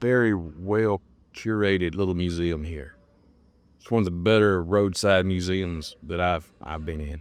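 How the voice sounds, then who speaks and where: Speaking at a fairly slow pace in a Southern US accent, a man with a very deep, low pitch and ordinary pitch variation keeps a relaxed tone while his loudness swings widely. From US South, South Alabama / North Florida. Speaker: travel vlogger. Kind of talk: walking vlog narration. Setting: outdoors and in a small museum. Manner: relaxed, conversational; halting, repeats words.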